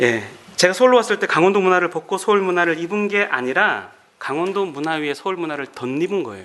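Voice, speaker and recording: Bright and sharp in tone, a man's high voice moves at a fairly quick pace with lively intonation. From Korea, Gangwon Province. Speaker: pastor and Bible lecturer. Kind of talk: lecture.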